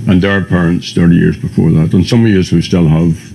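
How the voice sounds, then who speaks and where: Over noticeable background noise, a man talks at a moderate pace with a very deep, low pitch. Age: 70s. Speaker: republican activist. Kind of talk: documentary interview. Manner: halting.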